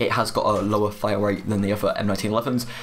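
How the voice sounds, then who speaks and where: A man with a British accent. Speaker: gaming YouTuber. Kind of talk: video game review. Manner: fast.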